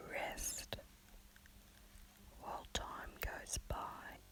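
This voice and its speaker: The speaker is whispering. The pace is very slow. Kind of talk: spiritual lesson reading for sleep. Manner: whispered.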